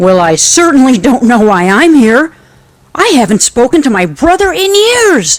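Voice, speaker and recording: A put-on character voice, high in pitch with very wide swings, runs at a moderate pace over faint background music. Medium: audio drama.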